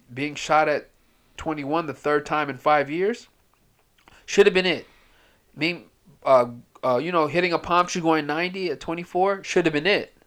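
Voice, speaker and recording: A man at a moderate pace, fairly high in pitch, with ordinary pitch variation and long, frequent pauses. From US, raised from age two by Ethiopian/Eritrean immigrant parents. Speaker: drug counselor. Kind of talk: casual chat.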